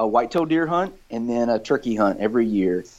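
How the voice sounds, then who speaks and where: The pace is fairly quick. It is an unremarkable speaking voice. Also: man. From US South, rural South Georgia. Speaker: project scientist and conservation volunteer. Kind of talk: casual interview chat.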